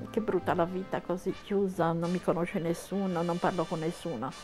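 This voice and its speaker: A woman talks in a fairly low voice while music plays behind her. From Cagliari, Sardinia. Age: 80s+. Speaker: blogger. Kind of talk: interview answer.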